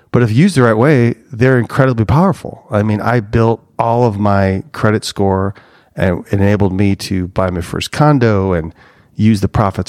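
Recorded very cleanly against a silent background, with a dry, close sound and no echo, a man with an American accent talks in a normal speaking voice, fairly low in pitch with ordinary pitch variation. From US Midwest, Chicago northwest suburbs. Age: 40s. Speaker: marketing executive. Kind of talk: casual interview chat.

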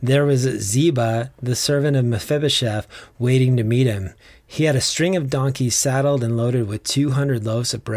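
The voice is plain reading aloud. It simply reads the text through.

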